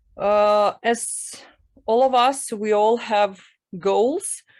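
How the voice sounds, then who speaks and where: A woman speaks against a quiet background. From Ukraine. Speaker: workshop participant. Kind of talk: answering aloud. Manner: halting.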